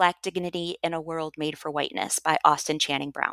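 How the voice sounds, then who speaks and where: With an American accent, a woman talks at a moderate pace in a fairly low pitch. Her tone is bright and sharp, and the sound is dry and close with no echo. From US Midwest. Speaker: educator and author. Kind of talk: interview conversation.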